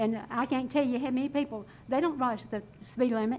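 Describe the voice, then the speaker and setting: Her voice is high in pitch, with a Southern US accent. The woman's pitch varies in an ordinary way. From North Carolina. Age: 70s. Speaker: resident speaking at public comment. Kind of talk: public comment at council meeting. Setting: council chamber. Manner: impassioned.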